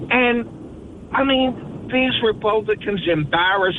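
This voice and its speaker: Very slow, high-pitched speech from a man, ordinary pitch variation, noticeable background noise throughout. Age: 70s. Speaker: caller. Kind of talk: heated debate. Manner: halting, stammering.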